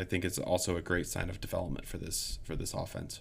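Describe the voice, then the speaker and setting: A man at a fairly quick pace in a very clean recording with a silent background. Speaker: sports podcast co-host. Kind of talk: casual chat. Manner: halting, many fillers.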